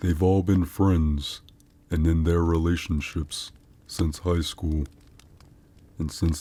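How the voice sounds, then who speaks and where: A man puts on a character voice, very deep and low in pitch. He speaks at a fairly slow pace with monotone, flat intonation. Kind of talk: horror narration. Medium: read story. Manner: measured, suspenseful storytelling.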